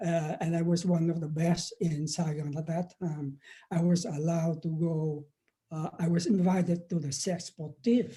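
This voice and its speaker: A man with a Vietnamese accent speaks at a moderate pace in a high pitch, his tone dark and mellow and his intonation fairly even. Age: 70s. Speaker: professor and former activist. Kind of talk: interview. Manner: halting, many fillers and repeats.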